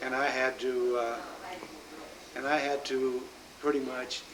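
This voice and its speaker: A man speaks at a fairly slow pace in a medium pitch with monotone, flat intonation, with audible room echo and noticeable background noise. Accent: Midwestern American. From US Midwest, Omaha, Nebraska. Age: 60s. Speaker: grandfather interviewed about his life. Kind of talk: oral history interview. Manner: halting, many fillers.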